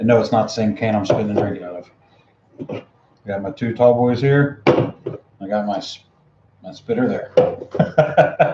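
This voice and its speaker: A man's fairly slow speech with big swings in loudness. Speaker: outdoor and survival livestreamer. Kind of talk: casual live stream chat. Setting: garage, livestream on webcam. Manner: rambling, halting.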